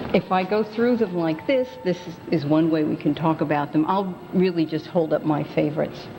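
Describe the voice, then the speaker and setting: The speech moves at a moderate pace with ordinary pitch variation amid noticeable background noise. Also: woman, fairly low pitch for a woman, hardly any pauses. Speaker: museum curator. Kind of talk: interview answer.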